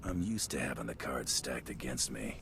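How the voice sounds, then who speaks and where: Amid loud background noise, a man does a put-on character voice at a fairly quick pace. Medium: video game.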